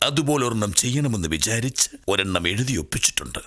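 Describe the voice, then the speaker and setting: A man speaks here. He uses a put-on character voice. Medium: stage play. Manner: fast, cheeky.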